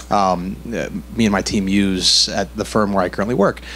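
Over light background noise, a man speaks at a moderate pace in a fairly low pitch. He has a plain, everyday voice. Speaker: audience member asking question; audience member. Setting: audience Q&A with microphone. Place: hall.

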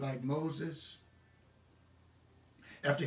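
Audible room echo around a man speaking at a very slow pace. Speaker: pastor. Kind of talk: sermon / church message delivered online. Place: home room. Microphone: phone near.

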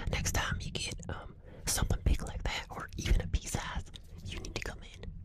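A soft-spoken woman talks at a fairly quick pace. The sound is dry with no echo, but loud background noise is present. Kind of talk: soft-spoken roleplay chat. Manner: soft, intimate ASMR speech. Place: home room. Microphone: earbuds.

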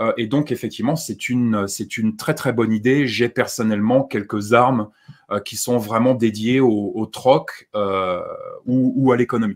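A man talks at a fairly slow pace with fairly even intonation against a quiet background. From France. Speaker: survivalist YouTuber; guest. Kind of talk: live-stream discussion. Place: home room.

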